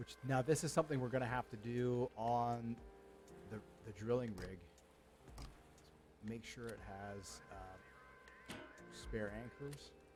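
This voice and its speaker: With music in the background, a man at a medium pitch speaks very slowly, leaving long, frequent pauses, and his loudness swings widely. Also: ordinary pitch variation. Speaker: gaming streamer. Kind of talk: gameplay commentary. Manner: halting.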